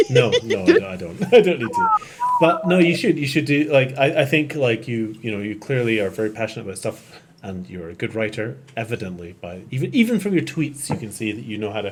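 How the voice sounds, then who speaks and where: A man with a Scottish accent and medium pitch talks at a fairly quick pace, his pitch swinging very widely. His loudness swings a lot, and there is noticeable background noise. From Scotland, Edinburgh. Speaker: podcast host. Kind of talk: casual chat. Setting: live stream.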